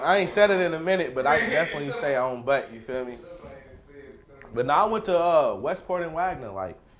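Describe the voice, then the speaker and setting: A speaker with a Louisville accent talks at a fairly quick pace, with very wide pitch swings and big swings in loudness. Audible room echo surrounds the voice. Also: man, fairly high pitch for a man. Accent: Louisville local speech. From Louisville, Kentucky (West End). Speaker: comedian. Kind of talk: casual chat.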